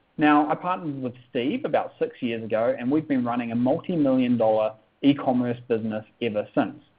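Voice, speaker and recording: With a New Zealand accent, a man talks at a fairly quick pace using ordinary pitch variation. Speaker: online business coach. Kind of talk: sales webinar. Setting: webinar.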